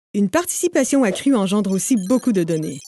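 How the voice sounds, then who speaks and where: A woman's dark, mellow, upbeat, confident tone with very wide pitch swings, in a dry, close sound with no echo. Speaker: voice actor. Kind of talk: corporate narration. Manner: upbeat, dynamic, confident.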